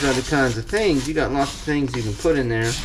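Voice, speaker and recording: A man's voice, showing ordinary pitch variation, carries an audible room echo. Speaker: farmer and home cook. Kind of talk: cooking tutorial. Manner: speaking quietly at times.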